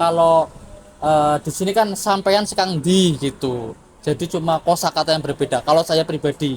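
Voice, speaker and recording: An unremarkable speaking voice carries ordinary pitch variation at a moderate pace. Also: man, fairly high pitch for a man. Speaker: university student. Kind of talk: interview answer.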